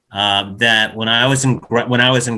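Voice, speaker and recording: A man talks with an American accent at medium pitch. His is an unremarkable speaking voice with fairly even intonation. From United States. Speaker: psychologist. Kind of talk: interview.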